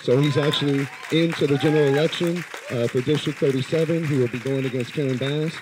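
A man with an American accent, fairly high-pitched, at a moderate pace with fairly even intonation, crowd noise in the background. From US West Coast, Los Angeles. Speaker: community activist. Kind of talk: public speech. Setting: live event with audience. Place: hall. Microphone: handheld.

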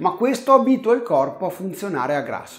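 A man talks at a fairly quick pace with very wide pitch swings. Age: 50s. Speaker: health channel host. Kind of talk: direct-to-camera video monologue. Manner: conversational.

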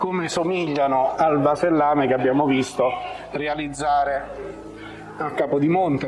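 A man speaks with a fairly high pitch and ordinary pitch variation. Audible room echo and noticeable background noise surround him. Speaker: travel vlogger. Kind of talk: travel vlog walking tour. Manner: hesitant, many filler sounds.

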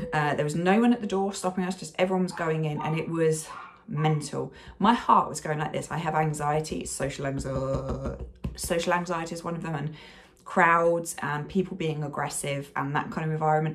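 Very deep and low, a woman's voice moves at a fairly quick pace with fairly even intonation. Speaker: vlogger. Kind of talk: casual vlog chat. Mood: frustrated, recounting stressful trip. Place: home room. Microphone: phone near.

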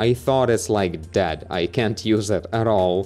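Faint music plays in the background as a man speaks at a fairly slow pace. His pitch is fairly low, with ordinary variation. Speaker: tech reviewer. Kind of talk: tutorial. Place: home room. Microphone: studio mic.

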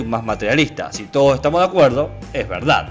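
A man talks while music plays in the background. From San Juan, Argentina. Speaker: philosophy of science podcaster. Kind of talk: casual educational podcast talk. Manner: effusive.

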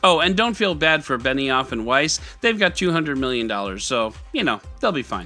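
Faint music plays behind a man whose bright, sharp tone moves through big pitch swings. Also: medium pitch for a man, moderate pace.

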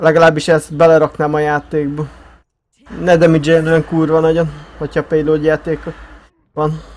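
A man's fairly high, monotone voice at a moderate pace, with long, frequent pauses and flat intonation. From Hungary. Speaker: gaming streamer. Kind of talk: casual chat while gaming.

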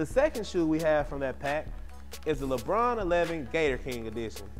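Clear music sits in the background as a man speaks at a fairly quick pace. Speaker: sneaker show host. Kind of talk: product review presentation. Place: studio. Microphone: lapel.

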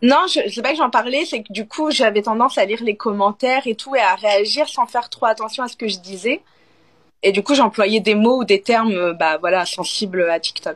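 With a plain, everyday voice, a woman talks at a moderate pace in a fairly high pitch, her intonation lively and her loudness swinging widely against a quiet background. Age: 40s. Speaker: former adult film actress, TikTok creator; live stream host. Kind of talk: casual chat. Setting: TikTok live video call. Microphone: phone near.

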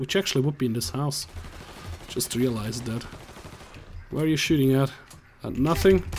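Over noticeable background noise, a man with a medium pitch and lively intonation talks at a moderate pace, leaving long, frequent pauses. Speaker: gaming YouTuber. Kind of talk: let's play commentary.

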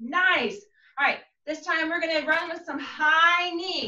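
A woman uses a raised, projected voice with a bright, sharp tone at a moderate pace. Noticeable background noise is present. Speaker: martial arts instructor. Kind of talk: class instruction. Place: home room. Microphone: video call.

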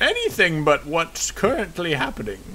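A put-on character voice from a man, moderately paced, over clear background noise. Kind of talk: comic put-on voice. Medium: solo performance. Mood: weary, sardonic.

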